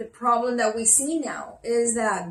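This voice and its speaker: A woman with a slight Spanish accent speaks at a very slow pace, her fairly high pitch showing ordinary variation. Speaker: co-host of spiritual talk show. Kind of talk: talk show discussion.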